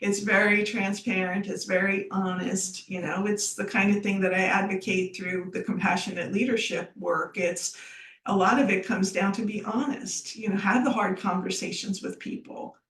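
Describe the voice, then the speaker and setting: With fairly even intonation, a woman speaks at a medium pitch over noticeable background noise. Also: moderate pace. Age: 60s. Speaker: business founder. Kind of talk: podcast interview.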